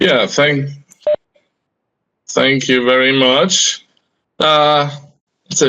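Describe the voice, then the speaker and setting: In a German accent, a man with a fairly high pitch speaks very slowly and at a very even loudness, leaving long, frequent pauses. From Germany, Hamburg. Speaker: homeopath lecturer. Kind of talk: lecture. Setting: video call.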